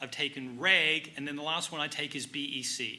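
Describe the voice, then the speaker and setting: A man with an American accent speaks at a fairly quick pace. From Australia. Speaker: CPA exam review instructor. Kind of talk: panel Q&A.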